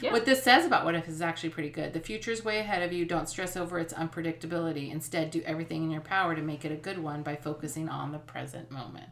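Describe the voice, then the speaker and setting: With noticeable background noise behind her, a woman with a fairly low pitch speaks very fast, with hardly any pauses and ordinary pitch variation. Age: 50s. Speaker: podcast co-host, mother. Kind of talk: casual chat.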